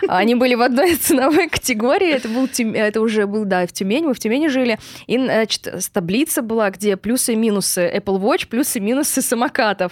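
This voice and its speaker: Delivered at a fairly quick pace, a normal speaking voice with lively intonation keeps very even loudness in a dry, close sound with no echo. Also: woman, fairly high pitch for a woman. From Russia, Surgut. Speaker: online sales and marketing expert. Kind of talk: podcast interview.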